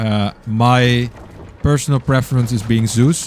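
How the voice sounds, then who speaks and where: A man with a Dutch accent speaks at a medium pitch. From Netherlands. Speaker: gaming streamer. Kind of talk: live gameplay stream commentary. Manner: halting, many fillers.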